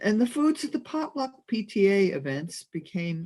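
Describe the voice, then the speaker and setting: A somewhat breathy woman's voice at medium pitch, with very wide pitch swings and an American accent. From New Jersey, US. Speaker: minister. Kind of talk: sermon. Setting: video call.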